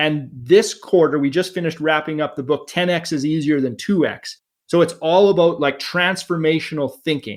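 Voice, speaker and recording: At a moderate pace with hardly any pauses, a man speaks at a fairly high pitch with ordinary pitch variation on a very clean recording with a silent background. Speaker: veterinarian and real estate investor. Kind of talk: podcast interview. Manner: animated; loud.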